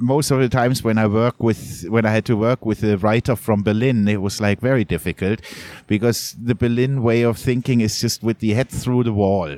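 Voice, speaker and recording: On a very clean recording with a silent background, a man with a German accent speaks at medium pitch and a moderate pace, with ordinary pitch variation and very even loudness, the sound dry and close with no echo. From Germany, Munich (Bavaria). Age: 40s. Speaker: photojournalist. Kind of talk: interview conversation. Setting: coffee shop.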